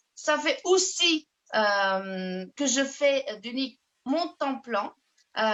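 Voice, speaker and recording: Speaking at a very slow pace in a Portuguese accent, a woman uses a high pitch with very wide pitch swings and long, frequent pauses. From Portugal. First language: Portuguese (speaking French). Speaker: network marketing ambassador. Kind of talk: self-introduction on video call. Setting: video call. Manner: halting.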